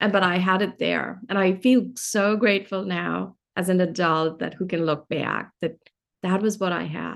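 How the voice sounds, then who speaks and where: A woman's voice with vocal fry and fairly even intonation. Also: medium pitch for a woman, moderate pace. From India, Delhi. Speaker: author and energy healer. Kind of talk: interview conversation.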